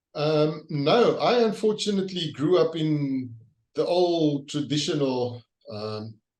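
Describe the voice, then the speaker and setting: A man's fairly high voice, very slow in pace, with lively intonation. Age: 60s. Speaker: leadership trainer and author. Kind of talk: interview. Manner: halting.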